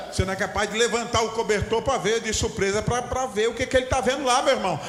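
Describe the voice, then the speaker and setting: Amid noticeable background noise and audible room echo, a man with an extremely high pitch speaks in an animated tone. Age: 60s. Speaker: pastor. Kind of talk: sermon. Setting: church.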